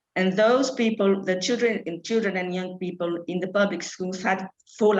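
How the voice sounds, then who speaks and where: Speaking in a Brazilian Portuguese accent, a woman uses a medium pitch. Her pitch variation is ordinary. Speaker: charity programme director. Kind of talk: panel talk. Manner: halting.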